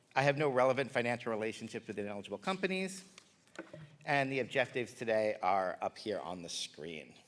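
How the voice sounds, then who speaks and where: Very wide pitch swings mark this voice, delivered at a fairly quick pace. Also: man, medium pitch for a man. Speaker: infectious disease physician. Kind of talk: lecture. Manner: fast.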